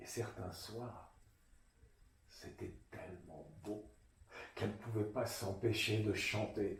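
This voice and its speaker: A man speaks at a very slow pace with vocal fry, big swings in loudness, and long, frequent pauses. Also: fairly low pitch for a man, fairly even intonation. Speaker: storyteller. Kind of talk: children's storytelling, tale told to an audience.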